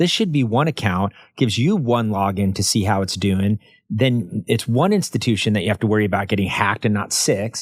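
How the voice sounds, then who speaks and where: A plain, everyday voice from a man, fairly low in pitch and fairly quick, with ordinary pitch variation, very even loudness, and a very clean recording over a silent background. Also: dry, close sound with no echo. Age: 50s. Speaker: financial advisor. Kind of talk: interview podcast.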